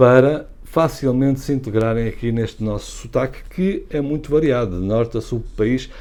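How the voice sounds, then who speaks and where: With a dark, mellow tone, the man varies his pitch in a normal way. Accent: European Portuguese. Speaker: language channel host. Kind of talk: casual educational talk to camera.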